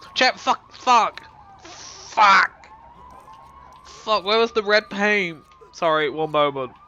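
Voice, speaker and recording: A man with a high pitch projects his raised voice with lively intonation over noticeable background noise. He goes at a very slow pace, with long, frequent pauses. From Britain. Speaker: game streamer. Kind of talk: live gameplay commentary. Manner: casual, rambling.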